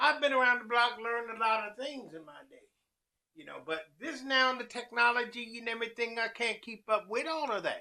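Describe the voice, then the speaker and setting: A man's raised, projected voice at an extremely high pitch, with ordinary pitch variation. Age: 60s. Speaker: chef and food truck owner. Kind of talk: casual vlog monologue.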